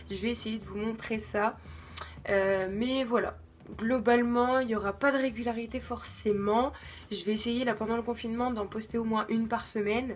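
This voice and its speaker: Her pitch fairly high, a woman speaks at a moderate pace in a monotone, flat way. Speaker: craft channel youtuber. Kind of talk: casual channel introduction vlog. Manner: hesitant, many fillers and repetitions.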